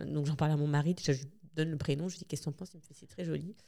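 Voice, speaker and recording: A woman talks at a very fast pace. Her voice is very deep and low in pitch, with a dark, mellow tone. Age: 40s. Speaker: bereaved mother sharing her story. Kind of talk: testimony. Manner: halting, many hesitations.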